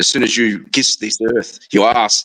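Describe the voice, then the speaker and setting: Speaking at a moderate pace, a man with an Australian accent has a medium-pitched voice. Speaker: live stream participant. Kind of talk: casual chat.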